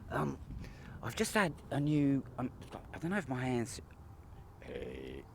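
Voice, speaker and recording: Spoken in a West Country accent at a fairly slow pace, the delivery has long, frequent pauses. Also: man. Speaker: vlogger. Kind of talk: casual monologue to camera. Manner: halting, rambling with many fillers.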